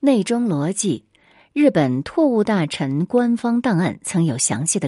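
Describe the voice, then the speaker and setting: A woman's dark, mellow voice at a fairly slow pace, with very wide pitch swings, dry, close sound free of echo, and a quiet background. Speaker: history podcast host. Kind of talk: scripted narration.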